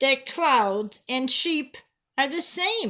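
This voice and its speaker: A woman puts on a character voice, pitched high and raised and projected. Her pitch swings very widely. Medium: read story. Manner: bright, curious.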